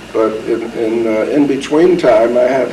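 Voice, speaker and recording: A man with an American accent, amid audible room echo and noticeable background noise. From US Northeast, New Haven, Connecticut. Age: 70s. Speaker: war veteran. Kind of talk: oral history interview. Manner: halting.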